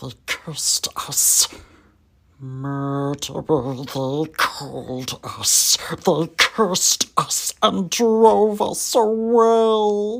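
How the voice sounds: A man puts on a character voice at a high pitch. He talks very slowly.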